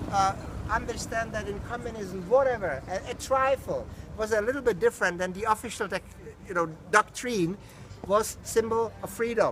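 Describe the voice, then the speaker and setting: A man speaks at a moderate pace in a high pitch with ordinary pitch variation. Noticeable background noise runs underneath. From Czech Republic, Prague. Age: 60s. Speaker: tour guide. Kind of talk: guided tour talk. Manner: halting, repeats words.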